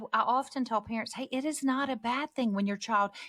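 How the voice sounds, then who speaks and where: An animated woman talks at a moderate pace with a fairly high pitch and ordinary pitch variation, in a dry, close sound with no echo. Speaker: podcast host and parenting speaker. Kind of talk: casual chat. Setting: video call. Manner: loud.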